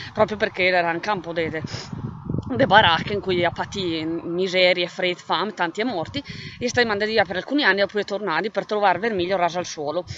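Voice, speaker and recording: A woman with a Trentino accent at a fairly quick pace, with ordinary pitch variation, noticeable background noise and a dry sound with no echo. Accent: Val di Sole dialect. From Val di Sole, Trentino, Italy. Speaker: writer. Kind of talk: casual talk to camera presenting own book. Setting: outdoors, windy. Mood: calm, reflective. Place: open country. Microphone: phone near.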